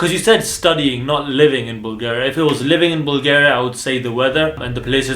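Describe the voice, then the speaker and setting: Amid noticeable background noise and audible room echo, a man with a fairly high pitch talks at a very fast pace in an animated tone. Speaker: dental student and vlogger. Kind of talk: casual Q&A vlog.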